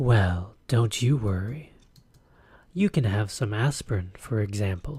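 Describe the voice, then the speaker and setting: The speaker uses a sing-song, put-on character voice at a fairly slow pace. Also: man, medium pitch for a man. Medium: solo performance. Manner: sing-song, teasing.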